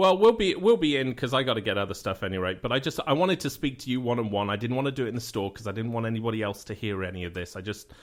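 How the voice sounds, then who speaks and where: Talking at a very fast pace with a British accent, a man uses a medium pitch and lively intonation. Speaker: radio show host. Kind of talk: phone call. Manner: halting, hesitant.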